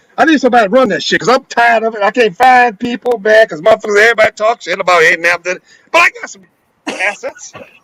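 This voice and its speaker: In a raised, projected voice, a man talks at a very fast pace with high pitch, lively intonation and a bright, sharp tone. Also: big swings in loudness, dry, close sound with no echo. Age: 70s. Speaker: elder businessman guest. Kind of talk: casual chat. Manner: animated.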